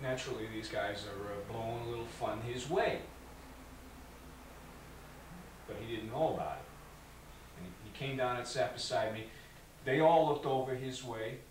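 At a moderate pace, a man speaks with long, frequent pauses, big swings in loudness and ordinary pitch variation, with noticeable background noise and audible room echo. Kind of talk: interview answer, acted monologue. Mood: aggrieved, storytelling. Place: empty room.

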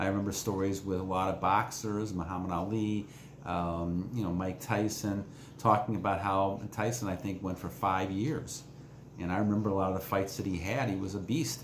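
With fairly even intonation, a man talks at a fairly low pitch amid audible room echo and light background noise. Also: moderate pace. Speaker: self-help vlogger. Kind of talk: casual vlog chat. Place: home room. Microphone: phone near.

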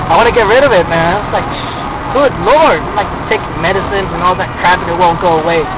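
The speech comes at a very fast pace with a dry sound with no echo, over loud background noise. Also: man. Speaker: driver vlogger. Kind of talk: casual vlog chat. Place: car. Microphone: phone near.

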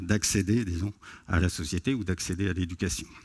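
Against a quiet background, a man's somewhat breathy voice goes at a moderate pace. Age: 50s. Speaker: sociology professor. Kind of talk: conference talk. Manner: hesitant with fillers. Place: stage. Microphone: headset.

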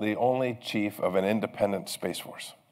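Over a quiet background, a man with a fairly low pitch talks at a fairly quick pace. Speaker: keynote speaker. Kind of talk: keynote speech. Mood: warm, lightly humorous. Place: hall. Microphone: podium.

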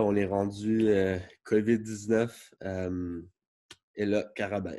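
Monotone and flat, a man speaks at a fairly low pitch in a dark, mellow tone. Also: quiet background. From Montreal, Quebec. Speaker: college football player. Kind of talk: recruitment interview. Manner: halting, many fillers. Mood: calm, relieved, grateful. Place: home room. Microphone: webcam.

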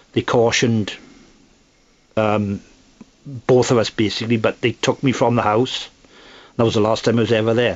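A man at medium pitch talks in a flat monotone at very even loudness, with long, frequent pauses. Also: moderate pace. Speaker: male domestic abuse survivor. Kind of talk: personal testimony. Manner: halting.

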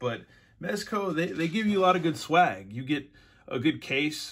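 Fairly quick male speech over faint background noise. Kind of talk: casual unboxing chat. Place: home room. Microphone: phone near.

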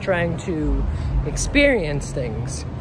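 A man speaks in a dry recording with no echo. Noticeable background noise can be heard. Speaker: travel vlogger. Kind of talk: casual vlog chat. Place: street. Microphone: phone near.

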